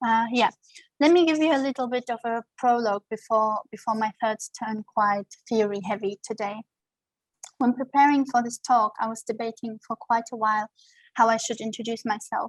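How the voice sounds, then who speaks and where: A woman with a German accent speaks at a fairly high pitch and fairly even intonation, in a dry, close sound with no echo. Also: moderate pace. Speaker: scholar and activist giving a lecture. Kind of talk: lecture. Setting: video call. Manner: formal.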